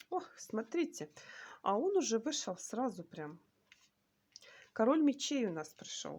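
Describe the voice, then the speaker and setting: A woman with vocal fry speaks in a fairly high pitch with very wide pitch swings and long, frequent pauses. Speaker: tarot reader. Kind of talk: tarot reading video. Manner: hesitant fillers.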